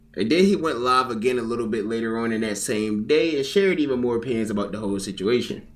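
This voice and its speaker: Audible room echo surrounds a man speaking at a medium pitch. He goes very fast, with hardly any pauses. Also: ordinary pitch variation. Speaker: commentary YouTuber. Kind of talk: reaction commentary. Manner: casual, conversational.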